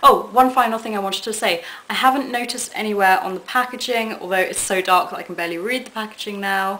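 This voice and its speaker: A woman talks very rapidly, her pitch moving in an ordinary way, with noticeable noise behind her. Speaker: beauty vlogger. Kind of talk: product review vlog. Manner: fast.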